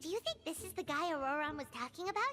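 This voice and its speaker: A cartoonish character voice, high in pitch, rattles along at a very fast pace over clear background noise. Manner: chatty, excitable.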